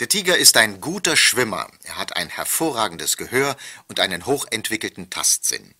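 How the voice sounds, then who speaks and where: A man at medium pitch and moderate pace, with very wide pitch swings, big swings in loudness, a bright, sharp tone, and a dry, close sound with no echo on a very clean recording with a silent background. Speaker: former television news anchor. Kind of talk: pre-recorded tour-guide narration played over loudspeakers. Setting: played from tape over loudspeakers in train wagons.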